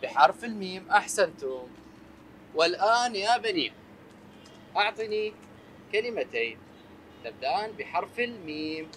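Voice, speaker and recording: Against light background noise, a man talks at a very slow pace with long, frequent pauses. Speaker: teacher on a children's show. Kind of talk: lesson to children. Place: classroom.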